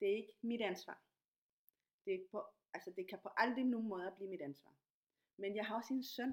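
Her pitch medium and its variation ordinary, a woman talks at a moderate pace with long, frequent pauses. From Latin America. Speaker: podcast host, dancer and activist. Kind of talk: casual interview.

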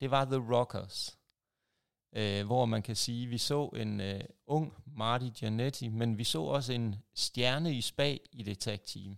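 A man speaks at a very slow pace in a medium pitch with ordinary pitch variation. The recording is very clean, the background silent. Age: 40s. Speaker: podcast host, wrestling fan. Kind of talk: casual chat. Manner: hesitant, many fillers.

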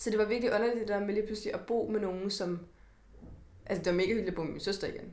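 A woman at medium pitch rushes along at a very fast pace in a monotone, flat intonation. Audible room echo surrounds her voice. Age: 20s. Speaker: podcast host. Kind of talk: casual chat.

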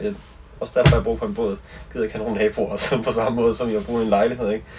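Noticeable background noise runs beneath a man's very fast speech. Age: 20s. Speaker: singer-songwriter. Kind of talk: casual chat. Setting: on a boat.

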